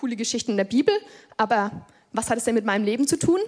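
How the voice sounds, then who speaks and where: A woman talks at a fairly quick pace, her fairly high voice showing ordinary pitch variation. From Germany, Upper Franconia (Lichtenfels area). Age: 20s. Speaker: lay preacher. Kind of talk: sermon. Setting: church. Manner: casual youthful.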